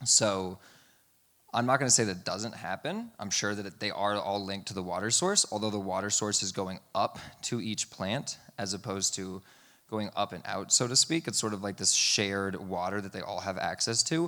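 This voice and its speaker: Loud and bright with a sharp tone, a man with a fairly low pitch speaks at a moderate pace with ordinary pitch variation in a very clean recording with a silent background. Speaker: irrigation company team member, former soil research lab worker. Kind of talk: conference presentation Q&A answer.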